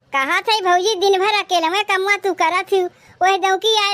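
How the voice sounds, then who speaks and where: A woman performs a cartoonish character voice at an extremely high pitch. She talks fairly quickly with fairly even intonation. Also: dry, close sound with no echo. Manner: conniving, talks to herself.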